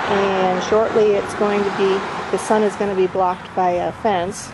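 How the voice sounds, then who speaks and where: A woman speaks at medium pitch with monotone, flat intonation. Audible room echo and noticeable background noise surround her voice. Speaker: home gardener vlogger. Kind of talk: garden walkthrough vlog. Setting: outdoors in garden.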